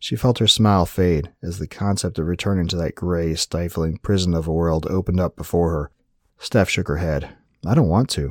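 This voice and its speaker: A man's very deep, low voice, calm and soothing, with ordinary pitch variation and a moderate pace, dry and close with no echo, on a very clean recording with a silent background. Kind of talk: dramatic narration of a fantasy story, read aloud. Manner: calm, soothing, storyteller's pacing.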